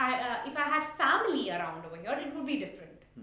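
A woman speaks very fast at a high pitch, her voice raised and projected. Her pitch swings very widely, and there is noticeable background noise. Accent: Indian. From India, Mumbai. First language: Tulu. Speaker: coffee grower. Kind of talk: interview.

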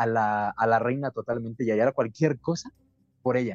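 A man's unremarkable speaking voice, medium in pitch, at a moderate pace with fairly even intonation and a dry, close sound with no echo. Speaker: podcast host. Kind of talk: casual chat.

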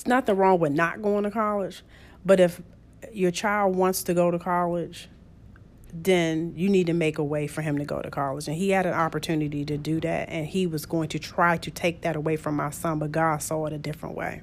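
On a very clean recording with a silent background, a woman with a plain, everyday voice and a fairly low pitch speaks at a fairly quick pace with fairly even intonation. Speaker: host's mother. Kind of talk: casual chat.

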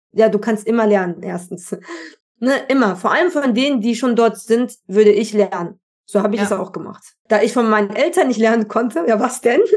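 A woman with a normal speaking voice talks at a fairly quick pace, her fairly high pitch showing ordinary pitch variation. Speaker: podcast host, personal development mentor. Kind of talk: casual interview chat. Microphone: worse audio track quality than usual.

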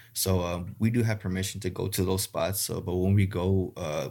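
In an American accent, a man speaks with a very deep, low pitch and a dark, mellow tone. His intonation is monotone and flat, and the recording is very clean with a silent background. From South Texas (Rio Grande Valley). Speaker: gar fishing guide. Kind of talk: casual interview. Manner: halting, many fillers.

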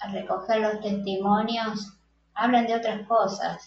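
This is a woman speaking. Her pitch is medium. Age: 50s. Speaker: psychologist and photographer. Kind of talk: interview.

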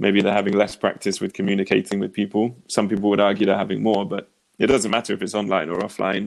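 In a southern English accent, a man with a fairly low pitch talks at a very fast pace in a monotone, flat intonation with hardly any pauses. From England, near Oxford. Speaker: dating coach. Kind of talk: casual chat.

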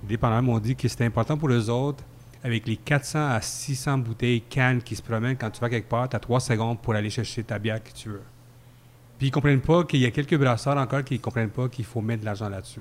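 A man with a Quebec accent speaks fairly quickly at a medium pitch, his intonation fairly even. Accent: Québécois French. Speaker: beer podcast columnist. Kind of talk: casual chat. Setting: microbrewery pub.

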